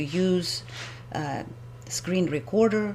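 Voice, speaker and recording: A woman speaks with a non-native accent. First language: not English. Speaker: homeowner presenting a video blog. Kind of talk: screen-recorded presentation. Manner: halting, with hesitations.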